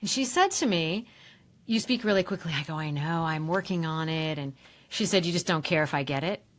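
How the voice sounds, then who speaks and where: A woman's fairly low voice with ordinary pitch variation at a fairly quick pace, on a very clean recording with a silent background. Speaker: leadership communication trainer and voiceover artist. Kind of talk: podcast interview. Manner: enthusiastic.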